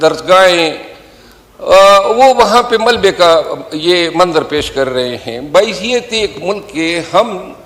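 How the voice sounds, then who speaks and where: A high-pitched man speaks with ordinary pitch variation over noticeable background noise. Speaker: member of parliament. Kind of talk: parliamentary speech.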